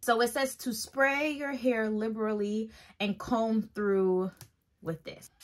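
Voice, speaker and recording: With ordinary pitch variation, a woman talks fairly slowly over a quiet background. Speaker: hair care vlogger. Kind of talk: casual tutorial vlog chat. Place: home room. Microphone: phone near.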